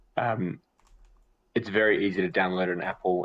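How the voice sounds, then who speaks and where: A man talks at a moderate pace in an Australian accent. His very deep, low voice holds a monotone, flat intonation. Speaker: metaverse community representative. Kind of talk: product overview in live stream.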